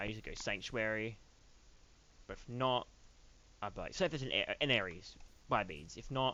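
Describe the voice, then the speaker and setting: A man's medium-pitched voice with vocal fry and an Australian accent, at a fairly quick pace. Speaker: gaming youtuber. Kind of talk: casual gameplay commentary. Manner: quiet.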